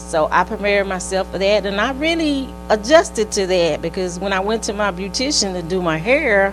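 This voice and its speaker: A woman talks fairly quickly while music is heard in the background. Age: 60s. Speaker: retired nurse, cancer survivor. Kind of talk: testimony.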